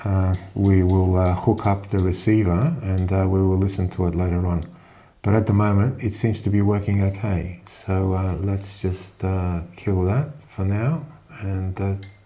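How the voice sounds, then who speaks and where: Very deep and low, a man's dark, mellow, somewhat breathy voice moves at a moderate pace with fairly even intonation. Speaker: amateur radio operator. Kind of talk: tutorial.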